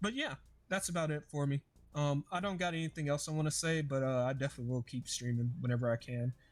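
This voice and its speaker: A man talks at a very fast pace with a fairly high pitch and ordinary pitch variation. His loudness stays very even. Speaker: podcast host. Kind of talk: casual chat.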